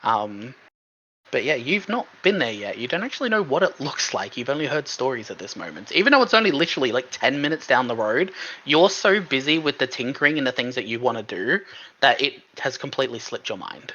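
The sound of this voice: Fairly quick speech with a bright, sharp tone and big pitch swings. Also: man, medium pitch for a man.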